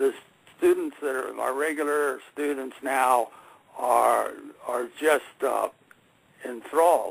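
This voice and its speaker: Noticeable background noise runs under a man speaking at a very slow pace. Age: 70s. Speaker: Sanskrit teacher. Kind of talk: radio interview. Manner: halting, many fillers.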